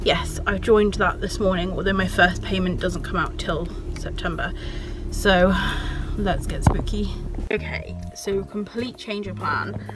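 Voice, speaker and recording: With music in the background, a woman talks at a fairly slow pace in a dry sound with no echo. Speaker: vlogger. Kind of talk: casual vlog chat. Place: car. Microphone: phone near.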